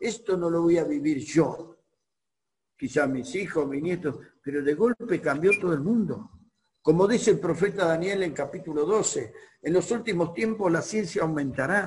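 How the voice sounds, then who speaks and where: The man's voice sits at a high pitch with ordinary variation. He keeps a moderate pace. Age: 60s. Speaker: pastor. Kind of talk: sermon.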